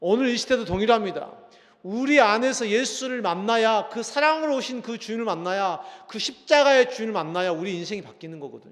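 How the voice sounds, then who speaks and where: Lively intonation comes at a fairly quick pace, with audible room echo around the voice. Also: man. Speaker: pastor. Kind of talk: sermon. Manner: strong intonation; not calm, intense.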